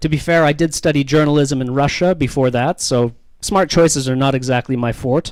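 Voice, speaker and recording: A man with a Canadian accent uses a normal speaking voice, fairly high in pitch, talking at a fairly quick pace with fairly even intonation. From Canada. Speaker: comedian. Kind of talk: stand-up. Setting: stage with audience.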